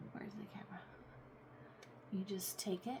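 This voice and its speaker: A woman is speaking. Noticeable background noise runs through the clip. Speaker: crafting YouTuber. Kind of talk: tutorial. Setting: at home desk.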